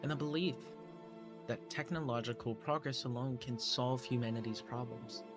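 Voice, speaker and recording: A man is talking, his pitch varying in an ordinary way. Music plays behind him. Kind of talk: video essay narration. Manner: quiet.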